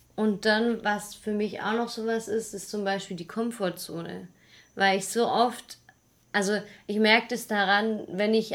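A woman's unremarkable speaking voice, fairly high in pitch and fairly slow in pace, on a very clean recording with a silent background. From Swabia, Germany (near Stuttgart). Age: 20s. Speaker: travel podcaster. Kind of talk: casual chat.

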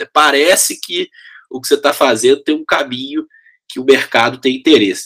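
A man with a mineiro accent, energetic and enthusiastic in tone, at a moderate pace. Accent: mineiro (Minas Gerais), still noticeable. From Brazil, Belo Horizonte (Minas Gerais). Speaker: education company CEO. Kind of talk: interview conversation. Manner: energetic, enthusiastic.

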